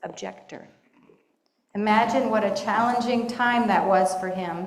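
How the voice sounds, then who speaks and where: Her pitch fairly high, a woman with an American accent speaks at a moderate pace with ordinary pitch variation amid audible room echo. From Pittsburgh, Pennsylvania. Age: 60s. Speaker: lay speaker at congregation. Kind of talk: personal testimony talk.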